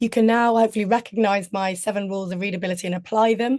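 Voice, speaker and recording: The voice carries a British accent with fairly even intonation. Behind it, the background is quiet. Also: woman. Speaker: communications trainer. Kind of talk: webinar presentation.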